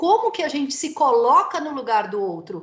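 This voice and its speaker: A woman at a moderate pace, animated in tone with very wide pitch swings, and audible room echo. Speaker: lecturer. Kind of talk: lecture. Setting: video call.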